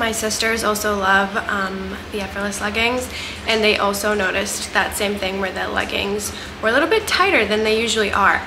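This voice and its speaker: Noticeable background noise sits behind a woman's voice. She talks at a moderate pace with fairly even intonation. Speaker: fitness apparel reviewer. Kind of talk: casual vlog chat. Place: home room. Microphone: camera far.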